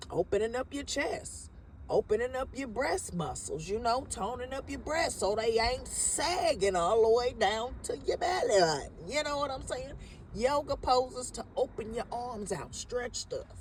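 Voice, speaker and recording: The speaker sounds animated and keeps a moderate pace. Noticeable background noise runs underneath. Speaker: spiritual vlogger. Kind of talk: casual spiritual monologue.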